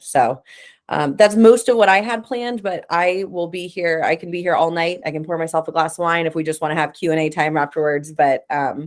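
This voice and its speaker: A woman with an unremarkable speaking voice talks at a fairly quick pace. Her pitch is fairly low, with ordinary pitch variation. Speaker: talent director giving a career talk. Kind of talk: online workshop talk.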